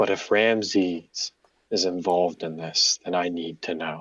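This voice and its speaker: A man puts on a character voice with a very deep, low pitch. He speaks at a moderate pace. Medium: actual play.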